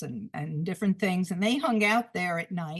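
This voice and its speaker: With a New York accent, a woman talks in lively intonation. Her voice is somewhat breathy. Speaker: photographer. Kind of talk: illustrated talk. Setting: video call. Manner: halting.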